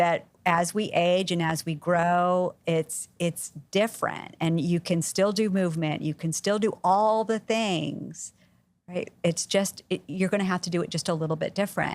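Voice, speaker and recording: A woman talks in a plain, everyday voice, fairly low in pitch, at a fairly slow pace. Her intonation is fairly even, and the recording is very clean with a silent background. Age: 50s. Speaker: health and wellness coach. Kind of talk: casual interview conversation. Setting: podcast studio.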